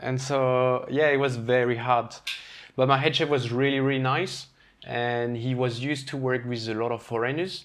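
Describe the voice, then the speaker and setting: A man with a French accent at a medium pitch, moderate in pace and monotone, flat in intonation. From France, Brittany. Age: 30s. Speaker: chef. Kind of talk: casual chat.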